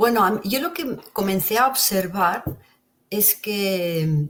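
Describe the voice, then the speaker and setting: Lively intonation marks this speech. A somewhat breathy quality runs through it. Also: woman. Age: 60s. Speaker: interview guest sharing near-death experiences. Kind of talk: testimony.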